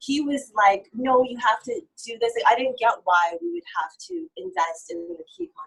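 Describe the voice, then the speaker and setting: A woman with an American accent talks at a moderate pace, somewhat breathy, her pitch swinging very widely. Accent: North American, sounds foreign in Uganda. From Canada. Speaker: entrepreneur. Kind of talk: casual interview. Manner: animated.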